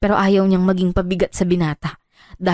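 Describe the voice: Quiet surroundings around plain reading aloud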